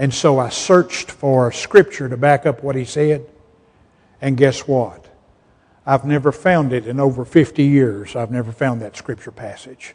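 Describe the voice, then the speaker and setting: A man in a Southern US accent at a medium pitch and fairly slow pace, with ordinary pitch variation and big swings in loudness. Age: 70s. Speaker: pastor. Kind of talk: sermon.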